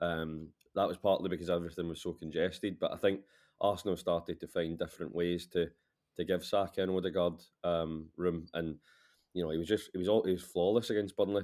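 A man with a Glaswegian accent speaks at a fairly quick pace. His very deep, low voice stays monotone and flat. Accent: Glaswegian Scottish. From Scotland, Glasgow. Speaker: football journalist. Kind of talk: casual chat.

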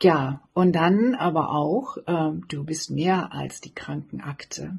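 A woman's fairly low voice with vocal fry. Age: 50s. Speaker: blogger and author, cancer survivor. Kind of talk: personal message of encouragement.

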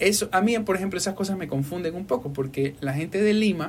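Here a man speaks at a fairly quick pace. His voice is high-pitched with lively intonation. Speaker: podcast host and voice-over artist. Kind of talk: casual interview. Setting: studio.

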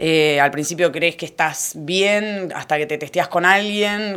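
Fairly even intonation marks this speech, delivered at a moderate pace. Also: woman. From Argentina, Necochea. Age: 30s. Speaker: lifesaving sport athlete. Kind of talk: interview.

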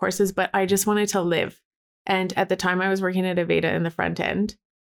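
A woman with a Canadian accent at a very fast pace, medium in pitch, monotone and flat, with very even loudness. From Alberta, Canada. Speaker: joy coach and photographer. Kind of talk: interview.

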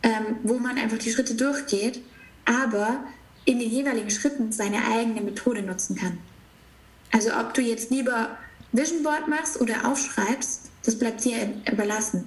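Amid noticeable background noise and audible room echo, a woman with a fairly high pitch speaks at a moderate pace with fairly even intonation. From southern Germany, near Stuttgart. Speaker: spiritual business coach. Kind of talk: casual interview.

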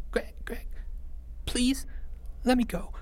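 A soft-spoken, shaky put-on character voice over noticeable background noise. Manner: trembling, whimpering, soft.

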